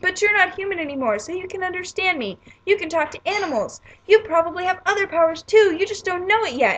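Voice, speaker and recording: A woman's squeaky, put-on character voice, extremely high in pitch and very fast. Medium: read story. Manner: friendly, casual.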